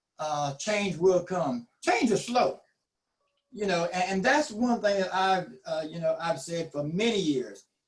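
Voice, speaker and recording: In a Southern US accent, a man talks with a high pitch and lively intonation. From US South, eastern North Carolina (Duplin County). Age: 60s. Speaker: community health nonprofit director. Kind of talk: panel discussion.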